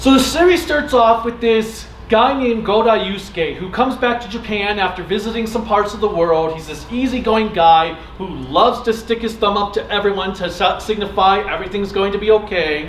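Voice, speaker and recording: Here a man's voice sits high in pitch, with ordinary pitch variation. Audible room echo and light background noise are present. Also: fairly quick pace. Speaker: panel host. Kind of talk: lecture. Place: hall. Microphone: camera far.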